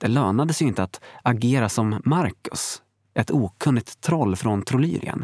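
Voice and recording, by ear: Against a quiet background, the words are read aloud in a natural voice with lively intonation.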